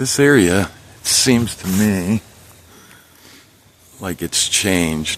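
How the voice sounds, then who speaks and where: Quietly and at a very slow pace, a man with a fairly low pitch and ordinary pitch variation speaks with long, frequent pauses over noticeable background noise. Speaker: bigfoot investigator vlogger. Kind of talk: solo outdoor vlog narration. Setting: outdoors, hiking in woods. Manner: quiet, hushed.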